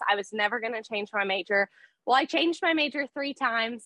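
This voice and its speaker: Her Texan accent comes through at a fairly quick pace. The woman's pitch is fairly high. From South Texas. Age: 20s. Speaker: small business owner. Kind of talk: interview.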